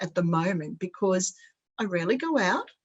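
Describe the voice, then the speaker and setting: Somewhat breathy, a woman with an Australian accent speaks at a fairly slow pace. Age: 60s. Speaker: spiritual centre group leader. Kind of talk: casual chat.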